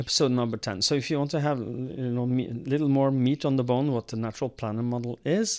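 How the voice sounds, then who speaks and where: In a quiet background, a man with a Scandinavian accent speaks at medium pitch. His pace is moderate and his pitch variation ordinary. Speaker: podcast co-host. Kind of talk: casual chat. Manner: halting, many fillers.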